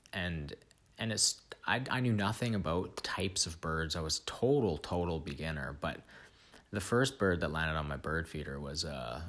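With a Canadian accent and a very deep, low pitch, a man speaks at a moderate pace with lively intonation and vocal fry. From Vancouver, Canada. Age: 20s. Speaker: podcast host. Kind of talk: solo monologue. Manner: halting, many repeats and fillers.

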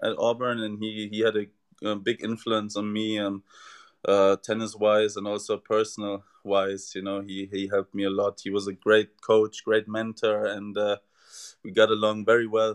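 The speaker uses monotone, flat intonation at a moderate pace in a German accent. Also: man, fairly low pitch for a man. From Germany. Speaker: tennis player, former college athlete. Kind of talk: interview.

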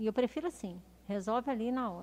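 Speaking with lively intonation, a woman keeps to a moderate pace. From Minas Gerais, Brazil (Belo Horizonte). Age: 40s. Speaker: city councillor and former police officer. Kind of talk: interview. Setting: studio, streamed live.

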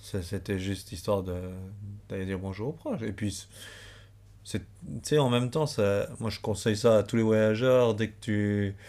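A man's fairly low, dark and mellow voice, broken by long, frequent pauses. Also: ordinary pitch variation, big swings in loudness, very clean recording, silent background. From Switzerland, Valais. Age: 30s. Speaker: traveler, former office clerk. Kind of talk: casual chat.

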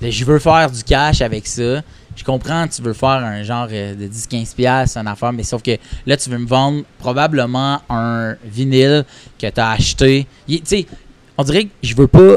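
A man's medium-pitched voice at a fairly slow pace, with ordinary pitch variation and big swings in loudness. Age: 30s. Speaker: comedian. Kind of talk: casual chat. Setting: record shop.

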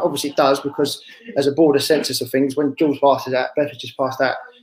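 A very fast-talking man with a fairly high pitch is heard through noticeable background noise. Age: 30s. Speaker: carpentry business owner. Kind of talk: casual chat.

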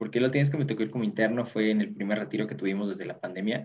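A man speaks in a normal speaking voice at a medium pitch, with ordinary pitch variation. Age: 20s. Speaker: youth group treasurer. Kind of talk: casual chat.

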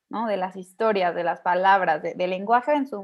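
A woman speaks with a Mexican accent and ordinary pitch variation, on a very clean recording with a silent background. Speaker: podcast host. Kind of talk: interview.

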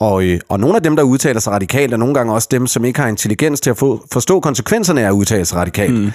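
At a very fast pace with hardly any pauses, a man keeps a very even loudness, his medium pitch carrying lively intonation. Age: 30s. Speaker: podcast host. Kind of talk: casual chat.

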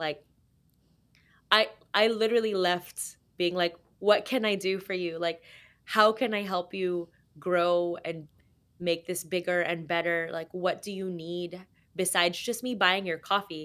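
Fairly low-pitched woman, fairly slow and fairly even in intonation, with long, frequent pauses, on a very clean recording with a silent background. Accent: Californian. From Los Angeles, US. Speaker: coffee roaster and cafe owner. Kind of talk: casual interview chat.

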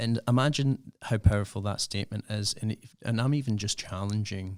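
A fairly low-pitched man with a Scottish accent at a fairly slow pace, dry and close with no echo, in a very clean recording with a silent background. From Scotland. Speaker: youth worker and podcaster. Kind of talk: casual radio interview.

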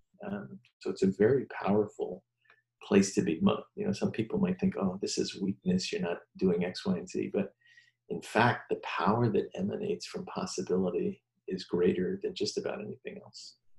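A man talks at a moderate pace. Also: big swings in loudness. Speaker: podcast host. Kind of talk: casual conversational podcast chat.

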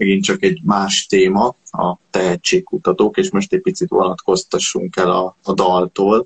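A man speaks at a fairly slow pace with very even loudness and hardly any pauses. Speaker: podcast interviewer. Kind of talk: interview questions.

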